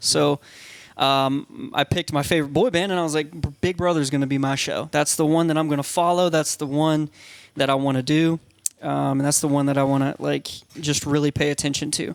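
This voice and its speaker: A man with an American accent, fairly high in pitch and fairly quick in pace. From US South, Georgia (Eastman). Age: 30s. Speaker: reality TV contestant. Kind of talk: casual chat. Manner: animated.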